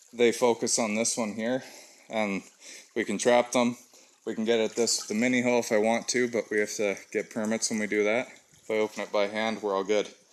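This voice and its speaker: This man, with a Western Canadian accent, talks at a fairly quick pace in a medium pitch with monotone, flat intonation. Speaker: trapper. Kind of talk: outdoor vlog walkthrough. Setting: outdoors. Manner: slurred speech.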